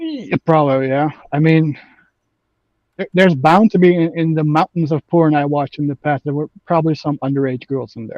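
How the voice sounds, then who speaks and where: Talking at a fairly quick pace, a man uses a fairly high pitch with ordinary variation. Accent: slight Dutch. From Netherlands. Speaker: online gamer debating politics. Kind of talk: casual debate. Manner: halting, many fillers.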